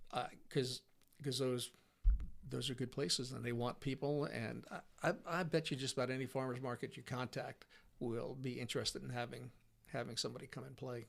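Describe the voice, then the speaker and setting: At a fairly quick pace, a man speaks at a medium pitch with vocal fry. His intonation stays fairly even. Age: 60s. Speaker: musician. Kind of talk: casual chat. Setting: in-person interview. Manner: halting.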